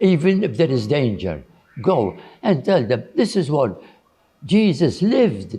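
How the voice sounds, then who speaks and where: Speaking at a fairly slow pace, a man with a dark, mellow tone and a somewhat breathy quality lets his pitch swing very widely. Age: 80s+. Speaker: religious brother and educator. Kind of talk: interview answer.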